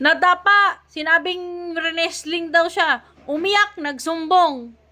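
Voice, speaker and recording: In a raised, projected voice, a woman with an extremely high pitch speaks very slowly with ordinary pitch variation. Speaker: political commentator streamer. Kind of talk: ranting political commentary. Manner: loud, raised voice; animated.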